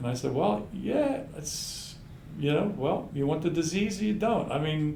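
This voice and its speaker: A man's fairly high-pitched voice with lively intonation at a fairly slow pace, with audible room echo and noticeable background noise. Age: 70s. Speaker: osteopathic physician. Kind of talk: casual chat.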